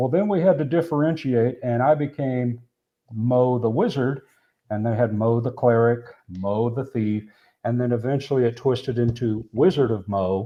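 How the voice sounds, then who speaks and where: A man talks in an unremarkable speaking voice at a medium pitch. His pace is moderate, with ordinary pitch variation. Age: 60s. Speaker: board game streamer. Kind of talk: casual chat.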